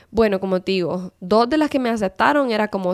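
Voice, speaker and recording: A woman uses an ordinary speaking voice at medium pitch and a moderate pace, with ordinary pitch variation, in a dry, close sound with no echo. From Honduras. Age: 30s. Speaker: civil engineer. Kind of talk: casual interview chat.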